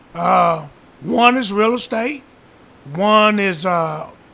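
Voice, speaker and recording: A man speaks with a high pitch. Noticeable background noise sits behind him. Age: 60s. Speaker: real estate investor. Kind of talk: casual interview. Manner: halting.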